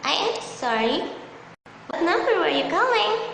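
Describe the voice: A woman puts on a character voice, extremely high in pitch with big pitch swings, vocal fry and a fairly bright tone. She goes at a fairly slow pace, and room echo is audible.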